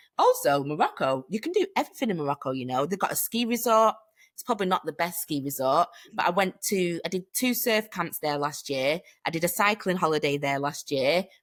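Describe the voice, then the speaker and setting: With a British accent, the speaker talks at a fairly quick pace in an animated tone with lively intonation on a very clean recording with a silent background. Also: woman, fairly low pitch for a woman. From Manchester, England. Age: 30s. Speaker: hiking community founder. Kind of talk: casual interview chat.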